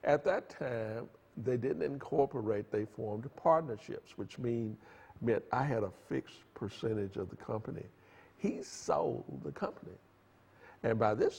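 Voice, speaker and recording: A man with vocal fry and lively intonation speaks at a moderate pace. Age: 70s. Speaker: tech entrepreneur. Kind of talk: interview. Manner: halting.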